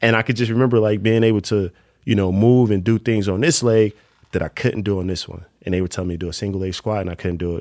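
A man speaks in a New Jersey accent at a fairly low pitch with ordinary pitch variation. The recording is very clean, with a silent background. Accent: New Jersey urban American English. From Newark, New Jersey. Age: 30s. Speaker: professional basketball player. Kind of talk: casual interview conversation.

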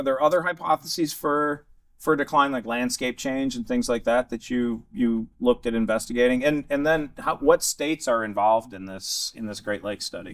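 A man speaks in a plain, everyday voice, pitched fairly high. His pace is moderate, with hardly any pauses. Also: ordinary pitch variation. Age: 40s. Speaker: podcast host, waterfowl scientist. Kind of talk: casual interview. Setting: conference.

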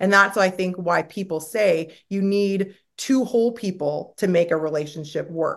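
A woman speaks in a normal speaking voice at medium pitch and a moderate pace. Her pitch varies in an ordinary way against a quiet background. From Canada. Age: 40s. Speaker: reality TV star. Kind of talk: casual interview.

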